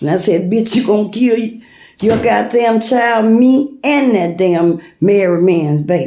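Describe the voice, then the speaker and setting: A woman's fairly high voice with a dark, mellow tone, lively intonation and a fairly slow pace, in audible room echo. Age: 60s. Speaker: vlogger. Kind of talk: personal rant. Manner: animated.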